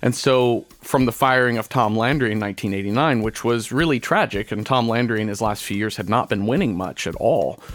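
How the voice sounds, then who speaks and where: A man with an American accent talks at a moderate pace, with hardly any pauses and a medium pitch. He has a plain, everyday voice with ordinary pitch variation. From Texas, suburbs of Dallas. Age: 40s. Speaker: podcaster. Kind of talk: casual chat.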